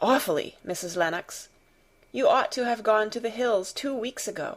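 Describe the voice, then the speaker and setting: A woman puts on a raspy, shaky character voice, fairly high in pitch, at a moderate pace. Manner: trembling, fearful.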